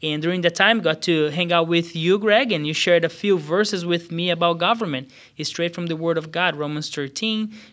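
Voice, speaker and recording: A man with a Portuguese accent speaks at a fairly quick pace with hardly any pauses, high in pitch with ordinary pitch variation. The recording is very clean, with a silent background. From Brazil, São Paulo State. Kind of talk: casual chat, faith testimony.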